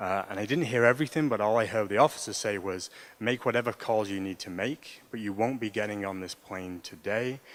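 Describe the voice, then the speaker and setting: A man with a fairly low pitch and ordinary pitch variation talks at a fairly quick pace on a very clean recording with a silent background. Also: hardly any pauses. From England. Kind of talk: personal story told to an audience.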